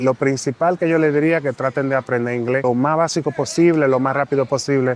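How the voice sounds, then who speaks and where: In a Dominican accent, the speaker talks at a fairly quick pace with fairly even intonation. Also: man, fairly high pitch for a man, very even loudness. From Dominican Republic. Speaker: immigrant interviewee. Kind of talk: interview.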